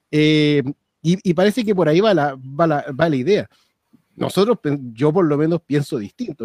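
His sound is dry and close with no echo, a man with a fairly high pitch, ordinary pitch variation and a dark, mellow tone. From Chile, Santiago (Maipú). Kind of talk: casual chat. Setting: video call. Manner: halting.

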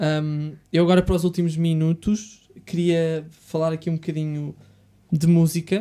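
A man with a European Portuguese accent, high pitch, dark, mellow tone, monotone, flat intonation and moderate pace. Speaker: podcast host. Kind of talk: casual interview chat. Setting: studio.

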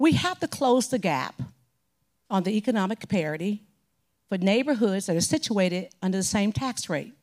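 On a very clean recording with a silent background, a woman speaks at a moderate pace and medium pitch with lively intonation. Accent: Southern US. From Mississippi, Gulfport. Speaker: mayoral candidate, property assessor. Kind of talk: candidate forum debate. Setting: stage with audience.

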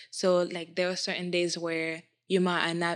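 Speaking at a moderate pace, a woman uses a fairly low pitch. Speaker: college student guest. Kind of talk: casual chat. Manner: reserved.

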